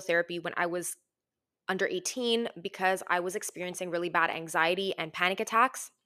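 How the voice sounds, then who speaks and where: A woman speaks in a bright, sharp, animated tone at a moderate pace. Her pitch is medium, with ordinary variation. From Greek heritage. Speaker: podcast host. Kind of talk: casual monologue.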